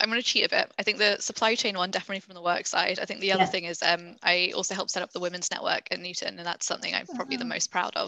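Over noticeable background noise, a woman talks very fast with hardly any pauses. Her loudness swings a lot while her pitch varies in an ordinary way. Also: medium pitch for a woman. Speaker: senior consultant. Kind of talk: webinar Q&A, conversational.

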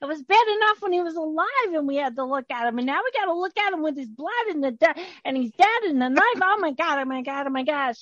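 Putting on a shrill, high character voice, a woman talks at a fairly quick pace with very wide pitch swings, and the sound is dry and close with no echo. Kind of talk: comic improv overacting. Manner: hysterical, shrill, panicky.

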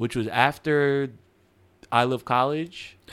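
A man speaks with an American accent. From Central New Jersey. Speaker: DJ. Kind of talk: casual chat. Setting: studio.

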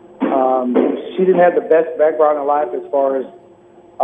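Against noticeable background noise, a man with an American accent talks at a moderate pace in a fairly high voice. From US Midwest, Peoria, Illinois. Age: 50s. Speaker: author and performer. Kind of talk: interview. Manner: halting, many fillers.

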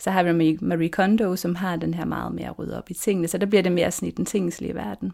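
This is a woman with a fairly low pitch. She talks at a very fast pace. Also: ordinary pitch variation, hardly any pauses. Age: 40s. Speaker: lawyer and minimalism blogger. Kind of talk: interview. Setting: her bedroom, head inside the wardrobe.

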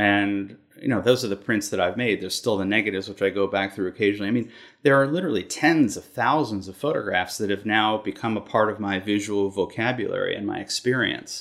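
A man with a fairly low voice and an American accent, very fast delivery, ordinary pitch variation, and a very clean recording with a silent background. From Massachusetts, near Boston. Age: 50. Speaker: photographer. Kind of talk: interview.

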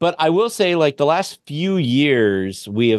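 In a normal speaking voice, a man talks at a fairly slow pace with lively intonation. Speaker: podcast host. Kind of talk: casual chat.

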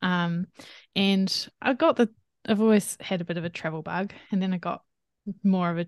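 With a New Zealand accent, a woman speaks at medium pitch and a moderate pace with fairly even intonation and long, frequent pauses, in a dry, close sound with no echo against a quiet background. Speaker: dietitian. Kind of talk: interview conversation.

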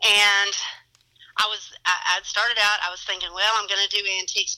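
This woman speaks with a Kentucky accent. Her pace is fairly quick. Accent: Southern, Kentucky. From Elizabethtown area, Kentucky. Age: 30s. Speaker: antique shop owner, interview guest. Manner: chatty, friendly, uses lots of fillers.

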